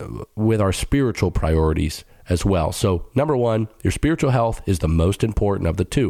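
Dark, mellow male voice at a moderate pace with ordinary pitch variation, on a very clean recording with a silent background. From Middle Eastern family background. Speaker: pastor and podcast host. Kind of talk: teaching monologue. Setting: studio.

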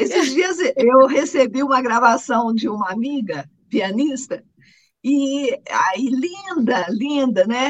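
A woman talks at a very slow pace in a Minas Gerais accent. Her pitch is high and her intonation lively. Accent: Brazilian Portuguese, Minas Gerais. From Minas Gerais, Brazil (Guaxupé). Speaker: coffee farmer. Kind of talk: interview. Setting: remote connection.

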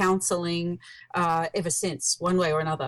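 A woman speaks in an Australian accent at a medium pitch. The recording is very clean, with a silent background. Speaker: author and researcher on birth control. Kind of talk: casual interview.

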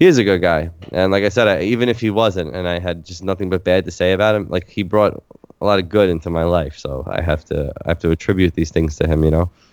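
A man with an American accent talks at a very fast pace. His pitch is very deep and low with ordinary variation, over noticeable background noise. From New York City (Staten Island). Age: 30s. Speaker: stand-up comedian. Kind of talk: casual chat.

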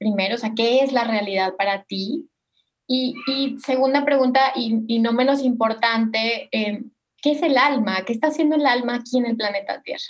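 A high-pitched woman's voice with a Mexican accent. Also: ordinary pitch variation, moderate pace. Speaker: podcast host, spiritual therapist. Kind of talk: interview.

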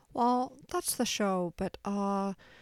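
What comes through is an unforced reading voice.

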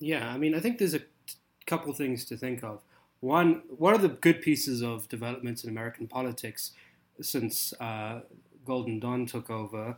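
With a South African accent, a man speaks at a moderate pace and medium pitch with ordinary pitch variation, in a very clean recording with a silent background. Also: big swings in loudness. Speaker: PhD student and political writer. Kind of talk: casual political discussion.

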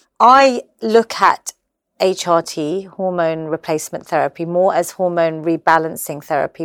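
A woman's fairly low voice with a London accent at a moderate pace, dry and close with no echo, on a very clean recording with a silent background. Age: 40s. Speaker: fitness and menopause advocate. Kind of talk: casual chat. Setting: artist's studio.

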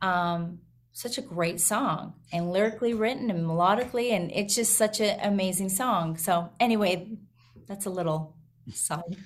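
A somewhat breathy woman's voice at medium pitch, with a moderate pace and ordinary pitch variation. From rural Alberta, Canada. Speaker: country singer-songwriter. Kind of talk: casual interview.

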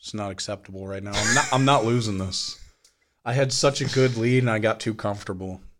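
A man with an ordinary speaking voice, medium pitch, fairly even intonation, big swings in loudness and a fairly quick pace, in a very clean recording with a silent background. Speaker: podcast host. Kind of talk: casual banter. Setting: studio. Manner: joking, self-deprecating.

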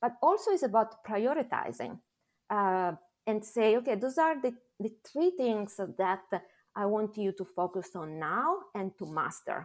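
In an Italian accent, a woman talks at a fairly slow pace and a fairly high pitch with very wide pitch swings, on a very clean recording with a silent background. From Italy. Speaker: pharma medical affairs head. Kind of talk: interview.

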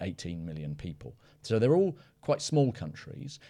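A dark, mellow tone with a British accent, very wide pitch swings and a moderate pace. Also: man. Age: 40s. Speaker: analyst, podcast co-host. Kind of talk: casual discussion. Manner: halting, many fillers and repetitions.

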